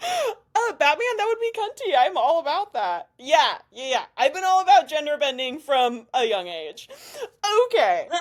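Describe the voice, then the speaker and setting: A woman with an American accent talks at a fairly slow pace and a high pitch, her voice making very wide pitch swings. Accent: others in Missouri say she has an. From Missouri, US Midwest. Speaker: podcast interviewer, bikini bodybuilder. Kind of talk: casual interview chat. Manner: animated.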